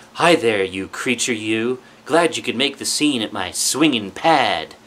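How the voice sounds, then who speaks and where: A man's put-on character voice at medium pitch. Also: moderate pace. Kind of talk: laid-back, groovy slang.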